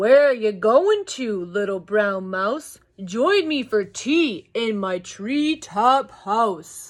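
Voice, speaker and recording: Very slowly, a female-sounding voice does a put-on character voice at a fairly high pitch. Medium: read story.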